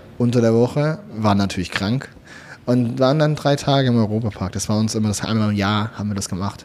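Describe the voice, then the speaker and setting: Over noticeable background noise, a man speaks at a fairly quick pace in a fairly low pitch with ordinary pitch variation. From Swabia, southwestern Germany. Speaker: content creator. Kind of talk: casual chat. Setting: restaurant.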